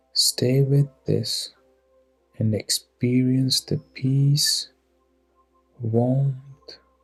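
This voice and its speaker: Against music in the background, the speech is very slow, with long, frequent pauses and a dry, close sound with no echo. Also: man. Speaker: guided meditation guide. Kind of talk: guided meditation. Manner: slow, calm, soothing.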